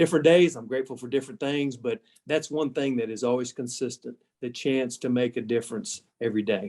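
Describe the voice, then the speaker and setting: With a Texas accent, a man talks at a fairly quick pace and medium pitch, his pitch varying in an ordinary way, in a dry, close sound with no echo. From South Texas. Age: 60s. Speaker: agricultural organization executive. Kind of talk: interview.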